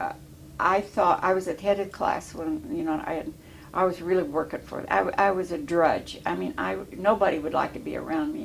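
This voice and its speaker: A woman with an American accent talks at a fairly quick pace amid noticeable background noise. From Illinois. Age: 80s+. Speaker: war veteran. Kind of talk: oral history interview. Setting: veterans home. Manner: halting.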